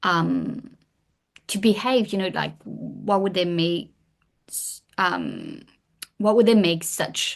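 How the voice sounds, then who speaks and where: Speaking with a French accent, a woman goes at a very slow pace, leaving long, frequent pauses. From France. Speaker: historian and author. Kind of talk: podcast interview.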